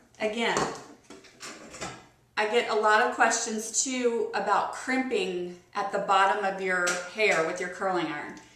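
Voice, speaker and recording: Speaking at a fairly slow pace and a fairly high pitch with ordinary pitch variation, a woman is heard with audible room echo and noticeable background noise. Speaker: beauty vlogger. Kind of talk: tutorial.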